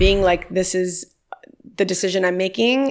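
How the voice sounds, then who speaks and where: A woman with an American accent speaks with vocal fry and ordinary pitch variation on a very clean recording with a silent background. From Miami, Florida. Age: 30s. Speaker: lawyer and nonprofit founder. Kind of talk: casual interview chat.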